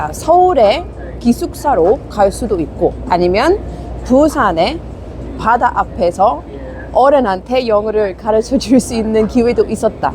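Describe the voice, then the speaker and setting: Fairly slow speech in a Busan accent over noticeable background noise. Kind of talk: casual, conversational.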